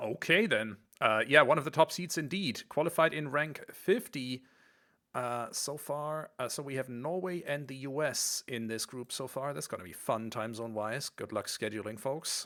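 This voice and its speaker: On a very clean recording with a silent background, a man with a German accent speaks at a moderate pace in a medium pitch, his tone bright and sharp, with ordinary pitch variation and big swings in loudness. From Germany. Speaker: esports commentator. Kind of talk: live commentary.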